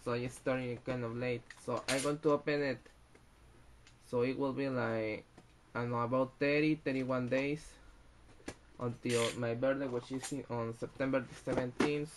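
Against light background noise, a man speaks in a monotone, flat intonation at a fairly slow pace with long, frequent pauses. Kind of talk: casual unboxing commentary. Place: home room. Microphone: webcam.

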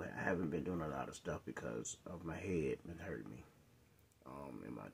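Over light background noise, a man speaks at a moderate pace in a very deep, low voice that sounds strained and has vocal fry. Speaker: vlogger. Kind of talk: casual vlog chat. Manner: weary, strained voice of a sick man. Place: home room. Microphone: phone near.

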